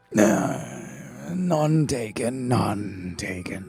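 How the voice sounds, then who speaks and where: A man puts on a raspy character voice at medium pitch, swinging very widely up and down. Music plays in the background. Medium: actual play. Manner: hesitant, stammering, soft-spoken.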